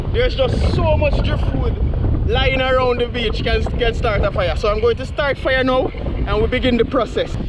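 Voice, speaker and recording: Loud noise fills the background while a man speaks at a moderate pace. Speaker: outdoor cooking vlogger. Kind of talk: casual vlog chat. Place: beach. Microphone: phone near.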